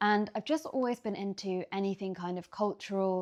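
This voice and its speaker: A speaker with a London accent talks at a moderate pace. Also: woman, quiet background. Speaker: lifestyle vlogger. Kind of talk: casual Q&A vlog. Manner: casual, hesitant with fillers.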